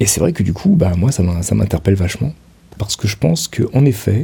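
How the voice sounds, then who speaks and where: This man's voice is fairly low in pitch. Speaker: podcaster. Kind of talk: personal monologue. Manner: halting, many hesitations.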